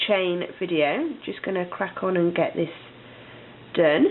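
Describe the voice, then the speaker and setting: A woman is speaking. She talks with a British accent. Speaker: crochet instructor. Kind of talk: tutorial.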